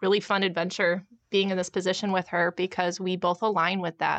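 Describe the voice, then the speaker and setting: The woman's voice sits at a medium pitch and moves at a fairly quick pace. Her intonation stays monotone and flat. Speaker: clinical education director. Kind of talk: casual interview chat.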